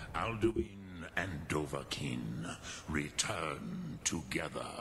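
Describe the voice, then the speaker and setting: A man puts on a character voice with a solemn tone and a very deep, low pitch. He speaks at a very slow pace over clear background noise. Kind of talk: epic fantasy game voice acting. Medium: video game. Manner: slow, solemn, deliberate, sprinkled with dragon-tongue words.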